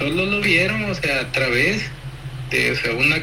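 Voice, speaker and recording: With noticeable background noise around him, a man speaks in lively intonation. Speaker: opposition political candidate. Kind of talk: phone interview.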